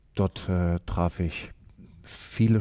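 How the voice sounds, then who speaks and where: Recorded very cleanly with a silent background, a man speaks in a dark, mellow tone with ordinary pitch variation. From Germany, Düsseldorf area. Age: 50s. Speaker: former Olympic athlete and coach. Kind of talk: interview.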